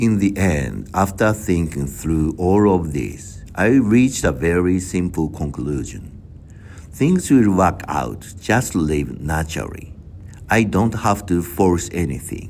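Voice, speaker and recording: A man speaks very slowly in a very deep, low voice with vocal fry. His intonation is lively. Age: 60s. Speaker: vlogger. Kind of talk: personal reflective monologue. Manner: halting.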